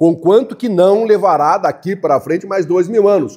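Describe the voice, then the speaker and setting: This is a man speaking. His pitch is high. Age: 80s+. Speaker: pastor. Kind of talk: sermon. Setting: church.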